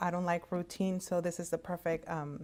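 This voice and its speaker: A woman is speaking. She has a Spanish accent. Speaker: medical interpreter. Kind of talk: career talk. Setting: virtual conference recording.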